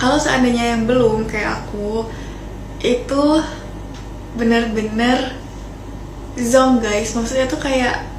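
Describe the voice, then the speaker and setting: Over noticeable background noise and audible room echo, a woman with a fairly high pitch talks at a very slow pace in a monotone, flat intonation, leaving long, frequent pauses. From Indonesia, Jambi (Sarolangun). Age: 20s. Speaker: vlogger, pharmacy graduate. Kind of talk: casual vlog storytelling. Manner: casual, chatty.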